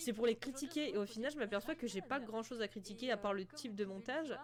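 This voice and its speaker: Music plays behind a woman with a fairly high pitch. She talks very fast with lively intonation. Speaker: gaming youtuber reacting to old videos. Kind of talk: casual reaction commentary. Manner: calm.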